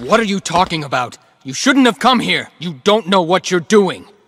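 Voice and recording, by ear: A man does a cartoonish character voice at a high pitch with lively intonation. The pace is moderate and the sound dry and close with no echo.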